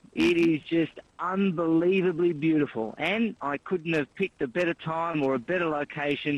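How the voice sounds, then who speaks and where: The sound is dry and close, with no echo. A man with an Australian accent talks fairly quickly at a fairly high pitch with ordinary pitch variation. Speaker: author and commentator. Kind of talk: interview. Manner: animated.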